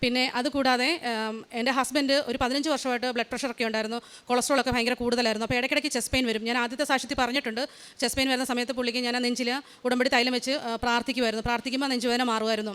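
A woman speaks at a high pitch with monotone, flat intonation. Her loudness holds very even. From Kerala, India (Haripad, Alappuzha). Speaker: nurse. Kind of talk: testimony. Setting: church.

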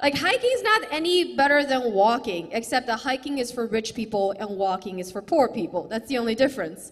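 The woman speaks at a moderate pace with lively intonation and a fairly high pitch. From China, later raised in US Midwest. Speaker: stand-up comedian. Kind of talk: stand-up. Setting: stage with audience. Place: stage. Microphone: handheld.

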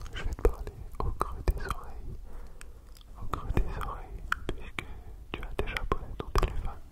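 A soft-spoken voice whispers. The pace is moderate. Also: man. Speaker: ASMR creator. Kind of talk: soft whispered ASMR talk. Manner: close, soft whisper into cupped hands. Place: home room. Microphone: studio mic.

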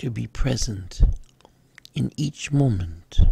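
With vocal fry and a dark, mellow, calm and soothing tone, a man speaks at a very slow pace through very wide pitch swings. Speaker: spiritual guide / meditation leader. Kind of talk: guided meditation affirmations. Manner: slow, calm, soothing.

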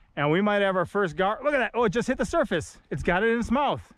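The sound is dry with no echo, and the background is quiet. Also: man. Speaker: fishing vlogger. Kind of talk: commentary. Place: waterside. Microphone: phone near.

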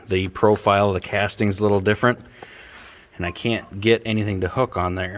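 Fairly even intonation and a fairly quick pace come through over light background noise. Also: man. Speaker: tractor restorer. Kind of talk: tutorial. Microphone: phone near.

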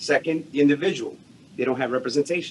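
A man speaks with ordinary pitch variation. There is light background noise. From New York. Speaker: salesperson. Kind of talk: audience question in Q&A. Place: hall.

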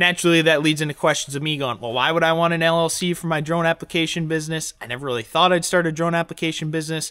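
Against a quiet background, a man speaks with a bright, sharp tone. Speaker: farmer vlogger. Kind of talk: casual vlog chat. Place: workshop. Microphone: phone near.

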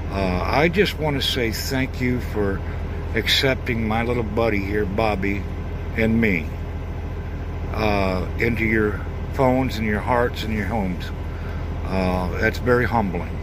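A man with a fairly low pitch at a fairly slow pace, with long, frequent pauses and noticeable background noise. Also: ordinary pitch variation. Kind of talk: casual vlog chat. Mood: warm, grateful, humble. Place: car. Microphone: phone near.

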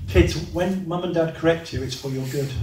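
Light background noise and audible room echo accompany a man speaking at a moderate pace. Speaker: preacher. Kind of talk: sermon. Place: hall.

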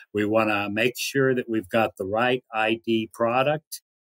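Over a quiet background, the delivery is very slow with fairly even intonation. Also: man. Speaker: remote guest. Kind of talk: interview answer. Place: home room.

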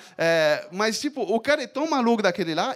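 A man with a French accent speaks at a high pitch in an animated tone. His pitch swings very widely. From France. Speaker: bassist and music business teacher; music business teacher. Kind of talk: talk to live audience. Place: stage. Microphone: handheld.

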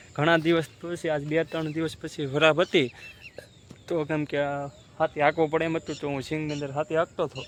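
The voice is monotone, with flat intonation, in a dry, close sound with no echo and noticeable background noise. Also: man, fairly high pitch for a man. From Gujarat, Saurashtra (Bhavnagar district). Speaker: farmer and village vlogger. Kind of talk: casual vlog talk to camera. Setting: outdoors on a farm, then at home.

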